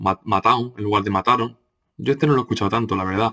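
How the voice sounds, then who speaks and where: Here a man speaks with a fairly low pitch. The recording is very clean, with a silent background. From Andalusia, Córdoba. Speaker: teacher. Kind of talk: lecture. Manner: hesitant, many fillers.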